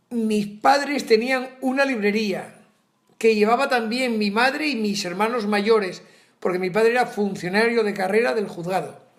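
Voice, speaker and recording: In a room with audible echo, a man speaks at a moderate pace, his high pitch showing ordinary variation. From Asturias, northern Spain. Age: 70s. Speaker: retired teacher. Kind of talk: interview.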